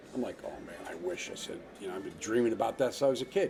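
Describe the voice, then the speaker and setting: Over noticeable background noise, a man with a New Jersey accent and a medium pitch speaks at a very fast pace, his pitch swinging very widely. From New Jersey, US (Hawthorne). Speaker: actor. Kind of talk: casual interview.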